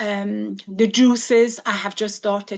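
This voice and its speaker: Her voice sits at a medium pitch, and the woman speaks with an Iranian accent. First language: Farsi. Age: 60s. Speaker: physiotherapist and cancer survivor. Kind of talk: talk to a group. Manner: halting.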